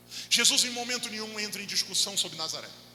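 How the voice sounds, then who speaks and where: A high-pitched man speaks with audible room echo and noticeable background noise. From Rio de Janeiro, Brazil. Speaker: pastor. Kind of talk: sermon. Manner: animated.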